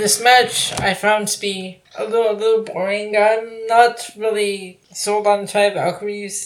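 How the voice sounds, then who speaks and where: The delivery is fairly slow and monotone, with flat intonation and hardly any pauses. Noticeable background noise is present. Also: woman, medium pitch for a woman. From Toronto, Canada. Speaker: podcast co-host. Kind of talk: casual banter podcast.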